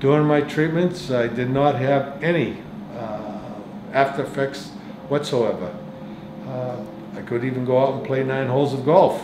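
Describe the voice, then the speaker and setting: A man with a medium-pitched voice talks at a moderate pace, using ordinary pitch variation and long, frequent pauses, with audible room echo and noticeable background noise. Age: 70s. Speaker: cancer patient. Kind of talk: testimony. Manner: halting.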